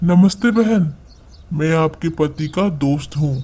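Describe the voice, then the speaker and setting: Doing a cartoonish character voice, a man speaks fairly slowly at a fairly high pitch. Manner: sly, calculating.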